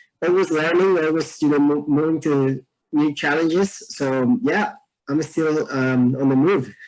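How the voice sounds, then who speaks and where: This man has a Mexican accent and a fairly high pitch. He talks fairly slowly at a very even loudness. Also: ordinary pitch variation. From Mexico. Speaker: environmentalist and dancer. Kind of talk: casual interview chat.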